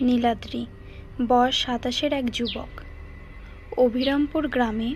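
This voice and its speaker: With music in the background, a woman speaks in a high voice with ordinary pitch variation. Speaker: voice-over narrator. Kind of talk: read story.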